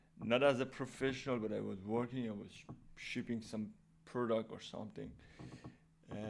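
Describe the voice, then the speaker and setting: With a non-native accent, a man speaks at a medium pitch and with fairly even intonation. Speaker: programming YouTuber. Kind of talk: casual tutorial talk. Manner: halting, many fillers and restarts; unscripted real-time speaking.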